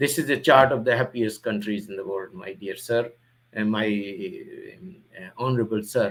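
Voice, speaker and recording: A man talks with ordinary pitch variation. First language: not English. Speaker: YouTuber, commentator on religion. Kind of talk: monologue presentation addressed to a public figure. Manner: halting, many fillers and restarts.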